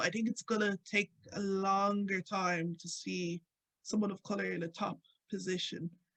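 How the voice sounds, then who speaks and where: Speaking with an Irish accent, a woman keeps fairly even intonation in a dry, close sound with no echo. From Ireland. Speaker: radio presenter and activist. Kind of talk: interview conversation. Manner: casual, many fillers.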